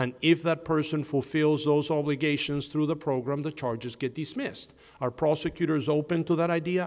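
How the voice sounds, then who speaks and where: The intonation stays fairly even at a fairly quick pace. There are hardly any pauses. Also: man. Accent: non-native. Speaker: criminal defense lawyer. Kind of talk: panel discussion.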